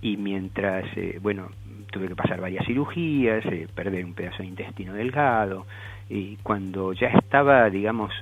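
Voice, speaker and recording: Audible room echo and noticeable background noise surround a voice moving at a moderate pace with ordinary pitch variation. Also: man, fairly low pitch for a man. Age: 60s. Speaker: celiac advocacy group member. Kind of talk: radio interview. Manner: halting.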